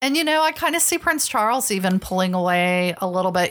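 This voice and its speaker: At a fairly quick pace, a woman with an unremarkable speaking voice talks at a medium pitch on a very clean recording with a silent background. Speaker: podcast co-host. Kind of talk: casual chat.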